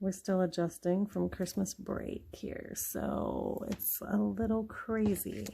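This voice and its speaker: A soft-spoken woman talks at a very slow pace. She hardly pauses at all. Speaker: mom vlogger, planner crafter. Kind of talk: casual tutorial narration. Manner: quiet, soft-spoken.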